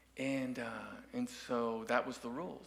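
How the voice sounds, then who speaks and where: Audible room echo surrounds this man as he talks. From Dallas, Texas (Oak Cliff). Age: 60s. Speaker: musician and guest speaker. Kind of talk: sermon with personal story. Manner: halting, many fillers.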